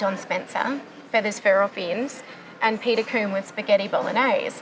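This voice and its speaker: In an Australian accent, the speaker keeps a moderate pace and fairly even intonation over music in the background. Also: woman, fairly high pitch for a woman. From Australia, Dutch immigrant family. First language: Dutch. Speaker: classical soprano singer. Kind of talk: casual interview chat.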